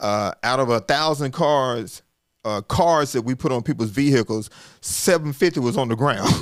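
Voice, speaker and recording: In a Southern US accent, a man talks at medium pitch and a moderate pace with lively intonation, on a very clean recording with a silent background. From US South, Arkansas. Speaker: communication coach and business founder. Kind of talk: casual interview storytelling. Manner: repetitive false starts.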